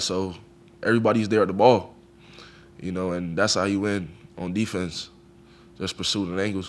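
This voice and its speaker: A man with a fairly low pitch talks at a fairly quick pace. His intonation is flat and monotone, with audible room echo. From Jamaica, Kingston. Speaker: college football player. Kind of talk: press conference interview. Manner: casual, conversational.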